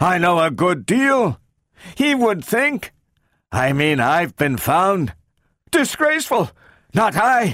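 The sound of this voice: On a very clean recording with a silent background, a man puts on a character voice, speaking slowly at a high pitch with big pitch swings and a fairly bright tone.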